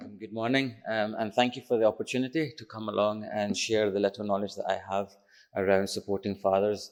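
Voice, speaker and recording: A man's fairly low, monotone voice with flat intonation at a fairly quick pace, on a very clean recording with a silent background. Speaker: parenting charity chief executive. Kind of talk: conference talk.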